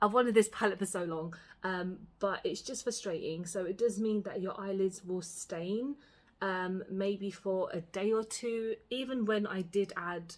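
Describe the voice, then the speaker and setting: A woman talks fairly slowly at a medium pitch with a Cockney accent. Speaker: beauty vlogger. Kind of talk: makeup tutorial and review chat. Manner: casual, filler-heavy.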